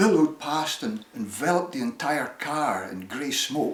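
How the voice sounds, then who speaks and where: A man's fairly high voice with a Shetland accent and lively intonation. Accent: Shetland Scottish. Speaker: storyteller. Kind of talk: personal storytelling. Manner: animated.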